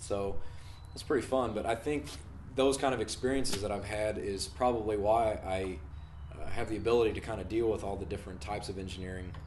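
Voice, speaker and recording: Talking at a very fast pace with an American accent, a man in a fairly low pitch uses ordinary pitch variation amid audible room echo. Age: 20s. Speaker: engineering student. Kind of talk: self-introduction video. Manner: casual, with many fillers.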